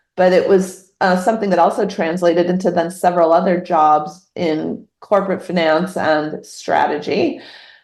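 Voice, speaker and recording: Audible room echo surrounds a woman's fairly low voice, which keeps a very even loudness. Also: fairly even intonation, moderate pace. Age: 50s. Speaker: novelist. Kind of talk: interview.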